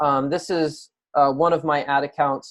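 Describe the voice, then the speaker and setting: Against a quiet background, a man speaks at a fairly slow pace in an ordinary speaking voice with fairly even intonation. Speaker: online marketing coach. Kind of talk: screen-share tutorial. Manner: casual with many filler words.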